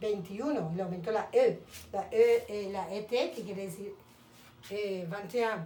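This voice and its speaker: Audible room echo surrounds a woman speaking at a fairly slow pace. Her tone is dark and mellow, with ordinary pitch variation. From Colombia, Cali. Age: 50s. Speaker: language teacher. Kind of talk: lesson.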